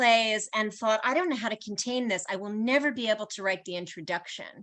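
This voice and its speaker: Her voice is fairly high-pitched, with a bright, sharp tone, as this woman speaks. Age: 60s. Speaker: author and literature professor. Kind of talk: panel discussion. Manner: halting, many fillers.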